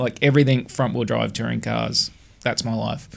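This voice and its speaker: With an Australian accent, a man speaks at a fairly quick pace in a medium-pitched voice with vocal fry and fairly even intonation. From Australia, Adelaide. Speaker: former touring car technician. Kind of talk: podcast interview.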